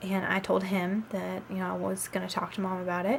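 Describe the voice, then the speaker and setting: A woman with a Southern US accent speaks at a medium pitch. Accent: Southern US twang. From US South. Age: 20s. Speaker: vlogger, college student. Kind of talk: casual vlog storytelling. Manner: chatty, many filler ums.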